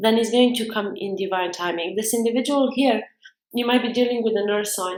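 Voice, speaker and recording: Someone with a non-native accent talks at a fairly quick pace with ordinary pitch variation. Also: woman, fairly high pitch for a woman. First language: not English. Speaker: tarot reader. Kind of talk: tarot reading monologue. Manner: halting.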